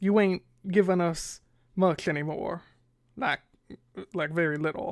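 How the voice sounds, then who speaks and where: Someone drawls in a put-on character voice at a middle pitch and moderate pace, leaving long, frequent pauses. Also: female-sounding voice. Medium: read story. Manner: stammering, drawling, hesitant.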